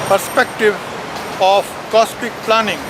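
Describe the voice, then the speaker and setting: A man with an Indian accent, high in pitch and at a fairly slow pace, over noticeable background noise. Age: 70s. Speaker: professor. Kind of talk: reading aloud.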